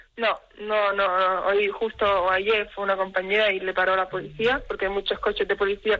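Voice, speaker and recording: Speaking at a moderate pace, a woman has a medium-pitched voice with a bright, sharp tone. The background is quiet. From Spain. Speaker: professional basketball player. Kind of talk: radio interview.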